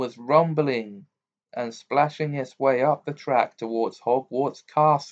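The voice is plain reading aloud against a quiet background.

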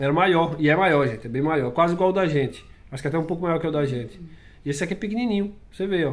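Ordinary pitch variation from a man speaking at a fairly high pitch. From Brazil. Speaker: vlogger. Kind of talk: casual vlog talk to camera. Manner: casual, conversational. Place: home room. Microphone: webcam.

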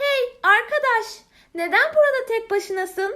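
Putting on a squeaky character voice, a woman talks at an extremely high pitch and a fairly slow pace. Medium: read story.

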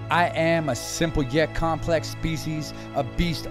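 A man speaks with music playing in the background. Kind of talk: spoken word poetry.

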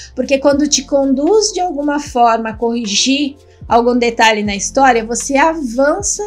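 Over faint music in the background, a woman speaks at a moderate pace in a high pitch. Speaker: writing teacher. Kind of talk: lecture. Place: home room.

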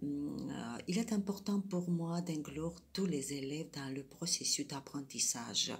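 Speaking very slowly in a Georgian accent, the voice is somewhat breathy and has hardly any pauses. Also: woman, very deep, low pitch for a woman, ordinary pitch variation. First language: Georgian (speaking French). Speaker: French teacher; French teacher at a public school. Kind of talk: prepared self-presentation. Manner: hesitant, many fillers. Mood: calm, earnest. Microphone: phone near.

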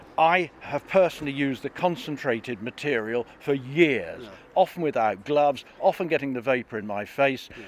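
A man speaks at a moderate pace with hardly any pauses, in a plain, everyday voice. His pitch is fairly high with ordinary variation, and the sound is dry with no echo. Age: 60s. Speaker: farmer and politician. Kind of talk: political interview. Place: street. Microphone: handheld.

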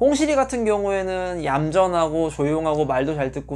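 A man talks at a moderate pace. His pitch sits fairly high, with lively intonation. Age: 30s. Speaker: pet bird YouTuber, office worker; pet bird YouTuber. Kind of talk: casual Q&A monologue. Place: home room.

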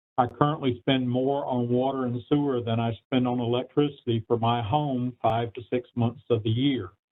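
A man has a normal speaking voice at medium pitch. He goes at a moderate pace with hardly any pauses and fairly even intonation. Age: 60s. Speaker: public hearing witness. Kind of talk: public testimony.

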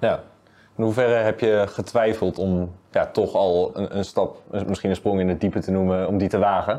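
A man's dark, mellow voice, fairly low in pitch, monotone and flat, at a moderate pace with very even loudness. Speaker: club media interviewer. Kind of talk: interview. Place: studio.

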